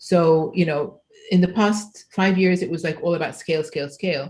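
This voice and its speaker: Speaking with an Arabic accent, a woman has a fairly low pitch and a somewhat breathy voice. Her intonation stays fairly even. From Egypt. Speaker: computational linguistics researcher, keynote speaker. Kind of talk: conference Q&A.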